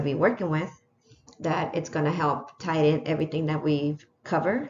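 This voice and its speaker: A woman with a very deep, low pitch and a non-native accent, at a moderate pace with ordinary pitch variation. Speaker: teacher. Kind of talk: lesson plan presentation. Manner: hesitant, many fillers.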